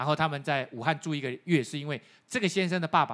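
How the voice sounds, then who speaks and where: A man is speaking. His pace is very fast. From Taiwan. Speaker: pastor. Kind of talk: sermon. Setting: church. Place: church. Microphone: handheld.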